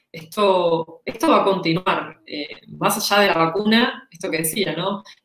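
A woman with a Rioplatense accent talks at a medium pitch and a fairly slow pace. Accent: Argentine Spanish (rioplatense). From Argentina. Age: 40s. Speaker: employer branding consultant and author. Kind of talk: interview.

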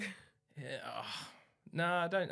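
A man with an Australian accent talks at a very fast pace in a bright, sharp tone. The recording is very clean, with a silent background. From Melbourne, Australia. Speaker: carpenter, reality TV contestant. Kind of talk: casual interview chat. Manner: halting with fillers.

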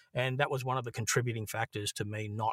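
With an Australian accent, a man talks at a very fast pace and fairly even intonation. The sound is dry and close with no echo, very clean, over a silent background. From Australia, Brisbane (Queensland). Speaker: actor and filmmaker. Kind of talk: casual chat. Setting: home recording booth.

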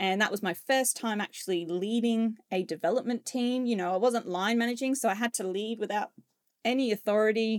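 A woman with an Australian accent, her fairly high voice at a fairly quick pace. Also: fairly even intonation, dry, close sound with no echo. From Australia, Queensland. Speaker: project delivery leader. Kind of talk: interview.

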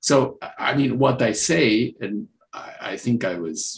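A man with a medium-pitched voice speaks with a Romanian accent. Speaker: mathematics professor. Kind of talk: panel discussion.

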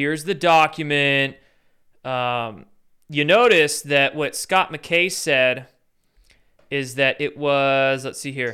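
Speaking in a Pacific Northwest accent, a man uses a fairly high pitch and a bright, sharp tone. His pace is very slow. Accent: general American, Pacific Northwest. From US Pacific Northwest. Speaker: YouTube commentator. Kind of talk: rant-style commentary with clips. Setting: livestream, Sunday night. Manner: animated, sarcastic.

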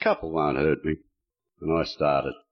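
The voice carries an Australian accent. Its pace is moderate. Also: man. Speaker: retired pensioner, recovering alcoholic speaker. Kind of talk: testimony. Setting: stage with audience.

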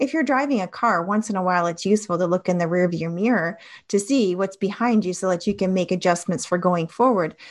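Someone speaks very fast with a Canadian accent and ordinary pitch variation. The background is quiet. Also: woman, medium pitch for a woman. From Canada, Toronto. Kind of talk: personal testimony.

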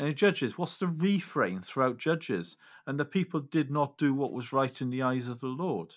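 Recorded very cleanly with a silent background, a man speaks in a Welsh accent at a fairly high pitch with lively intonation. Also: moderate pace. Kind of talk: casual chat.

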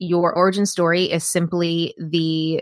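A woman with an American accent, fairly low-pitched, a plain, everyday voice and fairly even intonation. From US South, rural Appalachian Tennessee. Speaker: business coach and author. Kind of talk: interview.

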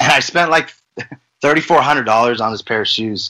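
A man speaks with an American accent in a medium pitch. His tone is bright and sharp. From Las Vegas, US. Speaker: reseller, former insurance salesman. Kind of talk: casual interview.

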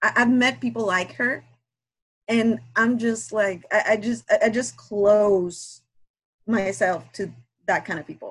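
Somewhat breathy, the voice moves at a very slow pace with ordinary pitch variation. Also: woman, big swings in loudness. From Guatemala. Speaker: aspiring romance writer and listener. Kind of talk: casual chat. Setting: video call. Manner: nervous.

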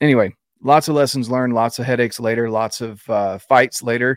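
In a very clean recording with a silent background and a dry, close sound with no echo, a man with an American accent uses an ordinary speaking voice at medium pitch, with fairly even intonation and a fairly quick pace. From North Carolina, Fayetteville. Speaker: hunting and outdoors influencer. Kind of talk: casual interview.

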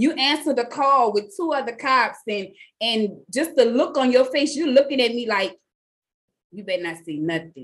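A woman with a New Orleans accent and a high pitch speaks at a moderate pace in an animated, enthusiastic tone, with lively intonation and big swings in loudness. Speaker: podcast host. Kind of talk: casual interview chat.

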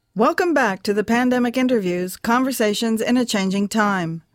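A woman with a plain, everyday voice, fairly high pitch, lively intonation and moderate pace, on a very clean recording with a silent background. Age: 60s. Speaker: podcast host and photographer. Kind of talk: interview.

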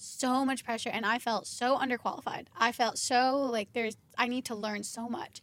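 With hardly any pauses, a woman talks at a moderate pace in a high pitch, her intonation fairly even. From Kentucky. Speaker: podcast host, marketing business owner. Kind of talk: casual interview chat.

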